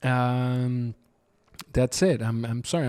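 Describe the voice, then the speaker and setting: A man speaks at a medium pitch with a Spanish accent. The sound is dry and close, with no echo. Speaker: podcast host. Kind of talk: podcast introduction. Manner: halting.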